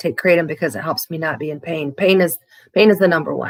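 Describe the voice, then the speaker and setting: A woman's fairly low voice with vocal fry comes at a fairly quick pace. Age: 50s. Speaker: livestreamer in addiction recovery. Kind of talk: casual livestream chat reading viewer comments. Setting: live stream. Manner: halting, many fillers and restarts.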